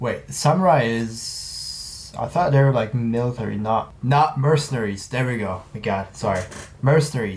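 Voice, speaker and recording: Speaking at a moderate pace with a non-native accent, a man is heard over noticeable background noise and audible room echo. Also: medium pitch for a man, lively intonation. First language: not English. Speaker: reaction youtuber. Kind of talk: casual reaction commentary. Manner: hesitant, filler-heavy.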